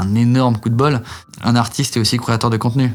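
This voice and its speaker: A man's speech runs fairly quickly in a flat, monotone intonation. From France. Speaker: singer. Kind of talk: interview. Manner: halting, many fillers.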